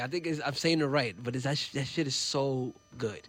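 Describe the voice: A man speaks loudly at a medium pitch. His tone is fairly bright, with ordinary pitch variation.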